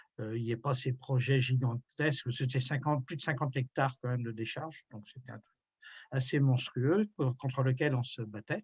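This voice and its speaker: A man speaks at a moderate pace in a somewhat breathy, medium-pitched voice with fairly even intonation. His loudness swings widely, and the sound is dry and close with no echo. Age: 60s. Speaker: retired environmental activist. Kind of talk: interview. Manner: hesitant, many fillers.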